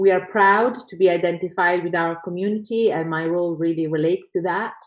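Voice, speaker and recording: With an Italian accent, a woman talks at a fairly quick pace in a fairly low pitch with fairly even intonation. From Italy. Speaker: professor. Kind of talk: conference talk. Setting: video call.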